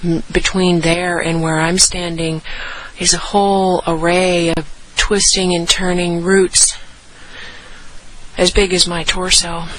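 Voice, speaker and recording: Soft-spoken and fairly low in pitch, a woman talks at a very slow pace with long, frequent pauses and monotone, flat intonation over noticeable background noise. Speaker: nature narrator on a hike. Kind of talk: impromptu outdoor monologue. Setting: outdoors in rainforest. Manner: quiet, reverent.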